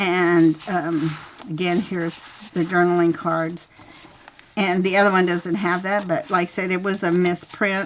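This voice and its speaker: A woman's fairly low, monotone voice with flat intonation, at a fairly slow pace over noticeable background noise. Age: 70s. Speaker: craft video creator. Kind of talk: tutorial. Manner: halting.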